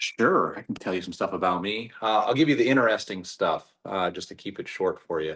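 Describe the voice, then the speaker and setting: A man with an American accent speaks at a fairly quick pace with hardly any pauses. His loudness swings a lot. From US, Southwest Pennsylvania. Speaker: actor, former pastor. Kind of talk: interview.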